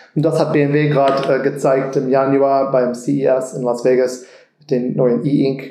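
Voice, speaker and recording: At a very slow pace, a man with an American accent speaks in a dark, mellow tone at medium pitch with fairly even intonation and audible room echo. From Texas, Austin. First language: English (speaking German). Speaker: car designer. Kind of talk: interview. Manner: halting.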